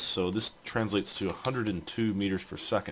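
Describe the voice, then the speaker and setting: Noticeable background noise accompanies a man who talks fairly quickly at a fairly low pitch. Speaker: engineering instructor. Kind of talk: screen-recorded tutorial. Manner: fast; casual, hesitant with fillers.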